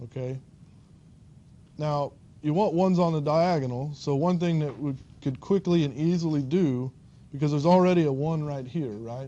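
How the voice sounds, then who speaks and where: Pitched fairly high, a man's voice comes through. Its tone is dark and mellow. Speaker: university lecturer. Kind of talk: lecture. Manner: halting with fillers.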